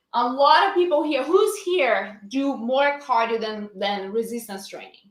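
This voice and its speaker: Speaking with a Brazilian accent, a woman uses a high pitch and lively intonation. Her tone is animated. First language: Portuguese. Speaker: fitness instructor. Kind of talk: live-stream fitness class talk.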